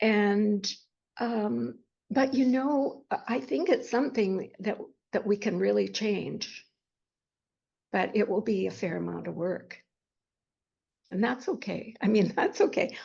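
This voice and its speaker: A woman talks at a very slow pace, with long, frequent pauses. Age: 80s+. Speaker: life and grief coach, retired school district worker. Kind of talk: podcast interview answer.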